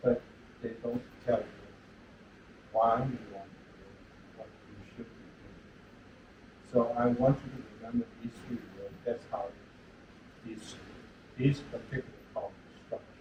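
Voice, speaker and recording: At a fairly slow pace, a man speaks in a monotone, flat way, his loudness swinging widely and long, frequent pauses breaking his speech. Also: medium pitch for a man. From China. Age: 80s+. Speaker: retired engineering professor. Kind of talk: lecture. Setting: lecture hall with audience.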